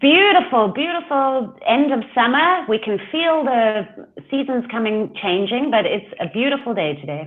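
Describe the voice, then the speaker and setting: Her pitch high and swinging very widely, the woman talks at a moderate pace. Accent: South African. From South Africa. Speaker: life coach. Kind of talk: interview.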